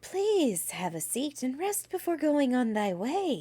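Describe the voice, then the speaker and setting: A cheerful put-on character voice from a woman, high-pitched with very wide pitch swings, at a fairly slow pace. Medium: read story. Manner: sweet, cheerful.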